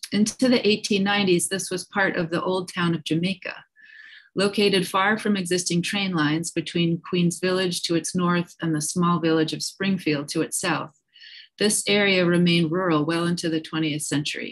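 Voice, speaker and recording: A woman talks in a plain, everyday voice at a fairly low pitch and moderate pace. Her intonation is fairly even, and the background is quiet. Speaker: presenter. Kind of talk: formal presentation. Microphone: video call.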